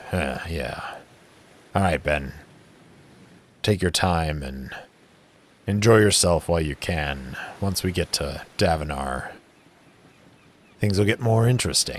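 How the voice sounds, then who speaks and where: Putting on a character voice, a man with a very deep, low pitch speaks fairly slowly with lively intonation and long, frequent pauses. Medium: actual play. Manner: laconic.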